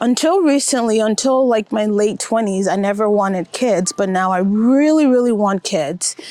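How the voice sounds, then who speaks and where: An unremarkable speaking voice from a woman, fairly high in pitch, with lively intonation at a moderate pace. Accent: American. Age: 30s. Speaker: vlogger. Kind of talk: personal vlog monologue. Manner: reflective, conversational.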